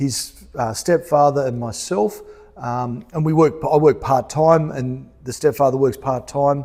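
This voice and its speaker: A man talks with an Australian accent in a fairly high pitch. His tone is dark and mellow, with ordinary pitch variation. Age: 50s. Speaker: pastor. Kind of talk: stage interview. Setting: church stage with audience. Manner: hesitant, many ums.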